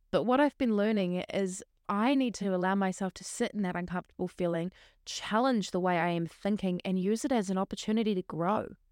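A woman speaks at a fairly quick pace with ordinary pitch variation. The recording is very clean and dry, close with no echo, with a silent background. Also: medium pitch for a woman. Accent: New Zealand. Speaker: podcast host and teacher. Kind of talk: solo casual monologue.

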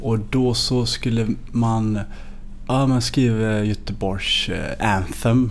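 Audible echo from the room around a man's voice of normal pitch movement. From Sweden, Gothenburg (Hammarkullen). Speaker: singer-songwriter. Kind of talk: casual interview.

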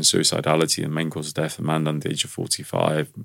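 The speech comes in a London accent. The pace is very fast. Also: man. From London, England. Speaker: stress management expert. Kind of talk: interview.

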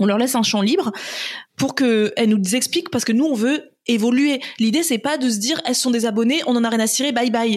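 This woman's voice sits high in pitch, with ordinary pitch variation. She keeps a fairly quick pace and very even loudness. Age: 30s. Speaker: entrepreneur. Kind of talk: casual interview.

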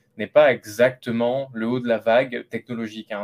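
A man talks at a moderate pace in a medium pitch. The sound is dry and close, with no echo. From France, Lot. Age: 30s. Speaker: AI entrepreneur. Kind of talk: interview. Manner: hesitant, many repetitions.

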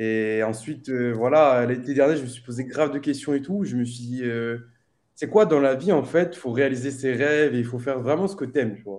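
A man with an unremarkable speaking voice talks at a fairly quick pace, medium in pitch, with ordinary pitch variation. His loudness swings widely against a quiet background. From Réunion. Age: 20s. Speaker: streamer. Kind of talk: casual chat.

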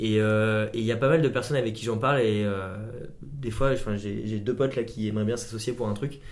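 With audible room echo, a man speaks at a fairly quick pace, his medium pitch held in fairly even intonation. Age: 20s. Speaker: optician and company co-founder. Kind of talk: casual chat.

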